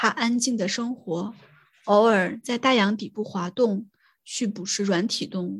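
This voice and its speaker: This woman's voice is fairly high and somewhat breathy. She speaks fairly slowly with fairly even intonation. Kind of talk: reading aloud an essay from a book, literary audiobook style. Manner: measured, even and steady reading pace.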